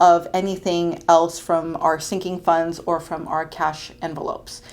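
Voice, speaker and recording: A woman talks at a fairly slow pace with a fairly low pitch. Hers is an ordinary speaking voice. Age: 30s. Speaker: budgeting vlogger. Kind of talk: casual tutorial vlog. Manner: chatty, many fillers.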